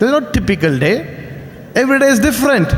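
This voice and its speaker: Noticeable background noise sits behind a man with an Indian accent. He talks at a very fast pace with lively intonation. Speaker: business speaker. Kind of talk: motivational speech.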